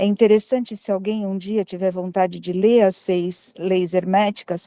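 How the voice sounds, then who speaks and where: A woman's dark, mellow tone at a moderate pace, in a dry, close sound with no echo. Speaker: audience participant at spiritist talk. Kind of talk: group discussion comment. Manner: speaking quietly.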